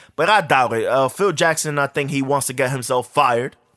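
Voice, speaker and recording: A man with a New York accent at a moderate pace. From New York, Harlem. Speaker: podcast host. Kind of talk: casual sports talk monologue. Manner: casual, profane.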